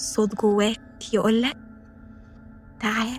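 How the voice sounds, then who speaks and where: Someone with an Egyptian accent talks over music in the background. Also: woman. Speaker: voice-over narrator. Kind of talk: folk horror story narration.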